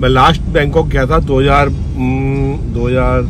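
A man's voice sounds dry with no echo, against noticeable background noise. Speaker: vlogger. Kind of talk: casual vlog chat. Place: car. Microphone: phone near.

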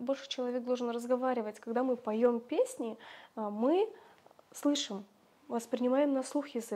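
A woman speaks at a high pitch with fairly even intonation and a fairly slow pace. Her speech has long, frequent pauses. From Kazakhstan, rural village. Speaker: Kazakh language teacher and social media creator; Kazakh language teacher, social media creator. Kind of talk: interview. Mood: warm, reminiscing. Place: home room. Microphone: lapel.

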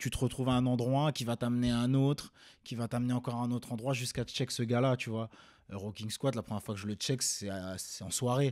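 A man speaks fairly quickly, with fairly even intonation. It is quiet in the background. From Rennes, Brittany, France; Brittany, France. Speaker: rapper and singer; interviewee. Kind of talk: interview. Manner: casual. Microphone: studio mic.

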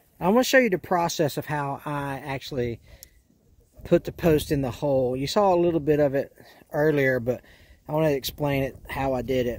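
A man talks at a moderate pace with ordinary pitch variation. The sound is dry, with no echo. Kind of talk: tutorial. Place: farm machine. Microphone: phone near.

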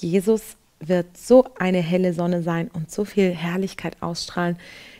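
A woman speaks at a fairly slow pace with a fairly low pitch and fairly even intonation. Her tone is dark and mellow against a quiet background. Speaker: presenter. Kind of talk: devotional Bible commentary. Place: studio. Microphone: headset.

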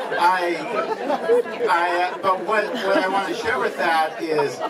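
Crowd noise sits behind a man speaking at a fairly slow pace. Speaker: guest. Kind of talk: informal speech to reunion guests. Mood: warm, smiling, grateful. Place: garden.

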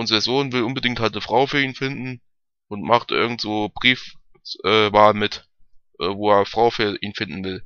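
A man speaks at a moderate pace with a fairly low pitch and fairly even intonation. His tone is clear and smooth, yet also bright and sharp.

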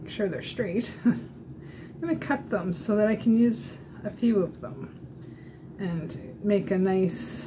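A very slow pace with big swings in loudness, over noticeable background noise. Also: woman. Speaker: makeup demonstrator. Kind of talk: tutorial. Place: home room. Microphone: webcam.

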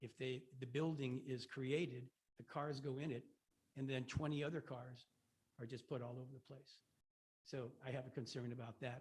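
A man speaks in a somewhat breathy voice with monotone, flat intonation. Long pauses come often. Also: medium pitch for a man, moderate pace. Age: 70s. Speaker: resident giving public comment. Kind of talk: public comment at a meeting. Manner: halting.

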